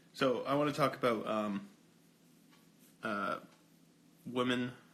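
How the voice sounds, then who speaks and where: A man speaks quietly with ordinary pitch variation. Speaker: livestreamer. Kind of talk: casual livestream chat. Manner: quiet, low.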